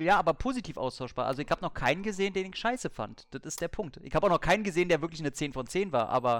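Speaking very fast with hardly any pauses, a man uses a high pitch and lively intonation on a very clean recording with a silent background. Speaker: film podcaster. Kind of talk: casual chat.

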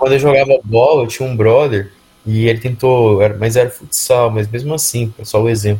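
A man talks at a fairly quick pace with fairly even intonation. His tone is dark and mellow, and somewhat breathy. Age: 20s. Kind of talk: casual chat.

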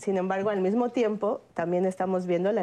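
Over a quiet background, a dark, mellow tone speaks at a moderate pace. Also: woman. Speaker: sociologist. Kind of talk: panel discussion.

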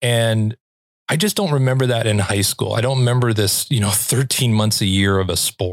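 A man's unremarkable speaking voice, fairly low in pitch, with fairly even intonation and a fairly quick pace on a very clean recording with a silent background. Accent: American. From Los Angeles. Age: 50s. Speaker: podcast host. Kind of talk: casual interview chat.

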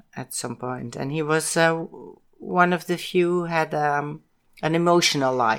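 Speaking with a Dutch accent at a fairly slow pace, a woman uses ordinary pitch variation in a very clean recording against a silent background. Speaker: podcast co-host, host's mother. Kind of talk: casual chat. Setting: home recording. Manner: halting.

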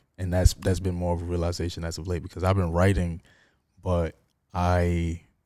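A man speaks with a New York accent in a very deep, low pitch and a dark, mellow tone. His intonation is monotone and flat, and the recording is very clean with a silent background. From New York, Harlem. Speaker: poet and filmmaker. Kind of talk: casual chat.

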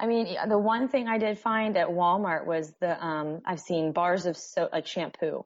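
Speaking at a moderate pace with hardly any pauses, a woman uses a plain, everyday voice in an American accent, medium in pitch with ordinary variation. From northern US. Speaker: guest, nursing student. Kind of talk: casual interview chat.

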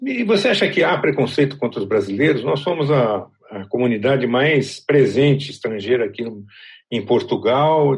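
His voice comes across somewhat breathy. The man's intonation is lively. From Brazil. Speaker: journalist and podcast host. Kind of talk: scripted narration; interview.

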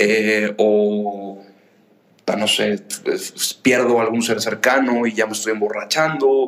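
Speaking very slowly with long, frequent pauses, a man keeps a medium pitch and fairly even intonation. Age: 20s. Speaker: young entrepreneur, social organization founder. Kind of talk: interview conversation.

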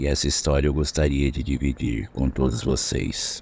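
Vocal fry marks this man's speech. His pitch sits very deep and low. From interior of São Paulo state, Brazil. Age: 60s. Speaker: listener telling a story. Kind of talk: voice message testimony. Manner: casual, conversational.

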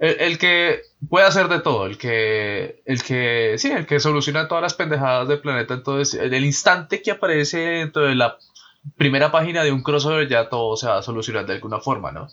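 Speaking at a fairly quick pace, this man has a fairly high voice. His tone is bright and sharp, with ordinary pitch variation. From Colombia. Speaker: podcast host. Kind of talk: casual chat. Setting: online voice call.

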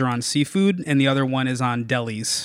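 A man speaks at a fairly quick pace in a normal speaking voice, medium in pitch, with an American accent. The recording is very clean, with a silent background. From Norwalk, Connecticut. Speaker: food journalist. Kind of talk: casual chat. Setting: in person in host's apartment.

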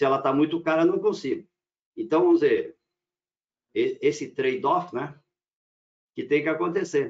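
Moderate speed from a man, broken by long, frequent pauses. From Rio Grande do Sul, German colony area, Brazil. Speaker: power electronics engineer and company owner. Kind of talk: casual panel discussion.

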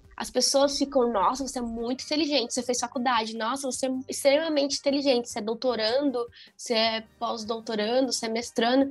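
With hardly any pauses, a woman talks at a fairly quick pace in a high pitch with fairly even intonation. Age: 20s. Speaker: physics teacher. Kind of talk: casual chat.

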